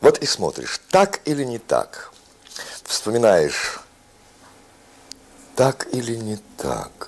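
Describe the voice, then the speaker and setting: A very slow pace, with long, frequent pauses and big swings in loudness. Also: man. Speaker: actor. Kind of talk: poetry reading. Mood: reflective, calm. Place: home room.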